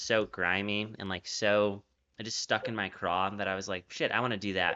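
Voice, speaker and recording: With an American accent, a man speaks at a fairly quick pace in a fairly low voice. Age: 20s. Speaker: interviewer, former urban planner. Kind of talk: casual interview chat. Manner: animated.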